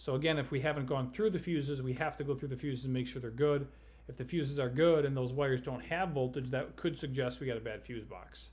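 A man speaks at a very fast pace in a somewhat breathy voice with fairly even intonation. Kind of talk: phone consultation advice. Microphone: webcam.

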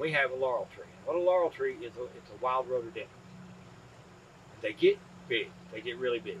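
The speech comes at a very fast pace with big swings in loudness. Light background noise sits underneath. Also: man. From East Tennessee, Appalachia. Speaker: farmer. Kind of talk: interview answer. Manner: casual, storytelling. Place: farm machine. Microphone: lapel.

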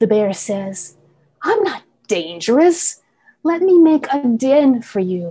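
A woman talks at a very slow pace with a high pitch. Her tone is dark and mellow, with very wide pitch swings. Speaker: poet. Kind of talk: poetry reading and panel discussion. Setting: video call. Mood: calm, measured. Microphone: earbuds.

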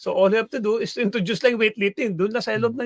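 The man's voice is heard in a dry, close sound with no echo. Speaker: sports analyst. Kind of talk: radio talk show discussion. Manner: halting, many fillers.

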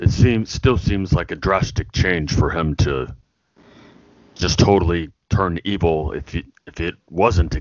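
A man's put-on character voice. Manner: blunt, terse.

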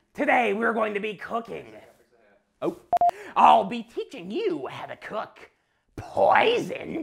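Using a put-on character voice at a fairly high pitch, the speaker goes fairly slowly with long, frequent pauses. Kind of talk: comic overacting. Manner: gleeful, cackling, sing-song cooking-show cheer.

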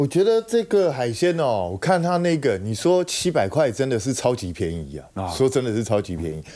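Over a quiet background, a man with a dark, mellow tone speaks at a moderate pace with hardly any pauses, his pitch swinging very widely. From Taiwan. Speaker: political commentator; talk show guest commentator. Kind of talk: talk show panel discussion. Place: studio. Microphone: lapel.

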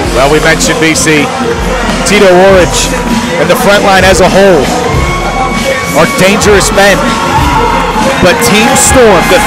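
Loud music fills the background as the speaker talks at a moderate pace. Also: dry sound with no echo. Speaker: wrestling commentator. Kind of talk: live sports commentary. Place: hall. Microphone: headset.

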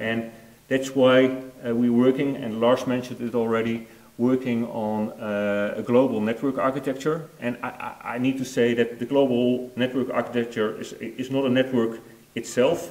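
A man with a Dutch accent speaks at a moderate pace in monotone, flat intonation. Room echo is audible. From Netherlands. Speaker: network product manager; conference presenter. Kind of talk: conference presentation. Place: hall. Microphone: lapel.

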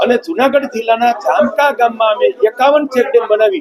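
Pitched extremely high for a man, this male voice has lively intonation over noticeable background noise. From Saurashtra, Junagadh district, Gujarat. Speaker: water conservation activist and trust chairman. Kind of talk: interview testimony.

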